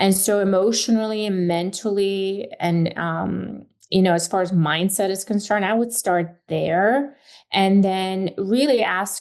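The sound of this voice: A woman's medium-pitched, slightly mellow voice with fairly even intonation at a fairly slow pace.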